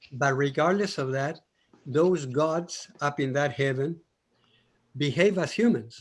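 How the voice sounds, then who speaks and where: The speaker, with a Colombian accent, is heard over a quiet background. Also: man. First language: Spanish. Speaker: audience participant. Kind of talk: discussion comment.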